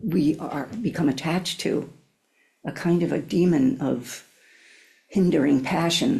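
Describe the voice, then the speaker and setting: Her voice is fairly low, somewhat breathy, and dark and mellow in tone. The woman speaks at a fairly slow pace with lively intonation and long, frequent pauses. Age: old. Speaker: Zen teacher. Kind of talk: dharma talk. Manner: halting, with many fillers.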